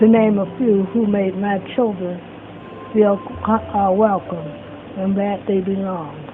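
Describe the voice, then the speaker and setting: The speaker has an American accent and a fairly slow pace. Background noise is noticeable. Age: old. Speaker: longtime resident sharing memories. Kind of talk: testimony.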